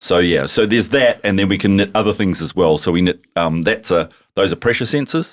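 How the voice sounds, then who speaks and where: Speaking at a very fast pace with a New Zealand accent, a man uses ordinary pitch variation. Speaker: tech company founder. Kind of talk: podcast interview. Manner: animated.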